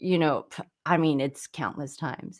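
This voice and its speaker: A woman with an American accent speaks in an unremarkable speaking voice, fairly low in pitch and fairly even in intonation. Her pace is fairly slow, on a very clean recording with a silent background. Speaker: songwriter and musician. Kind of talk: casual podcast chat.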